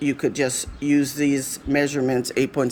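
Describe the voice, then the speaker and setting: A woman with a very deep, low pitch. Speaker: craft tutorial maker. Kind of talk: tutorial.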